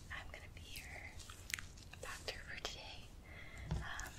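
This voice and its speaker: A soft-spoken woman whispers in a gentle tone. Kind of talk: soft-spoken role-play exam. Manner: soft ASMR whisper, gentle and close. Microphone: phone near.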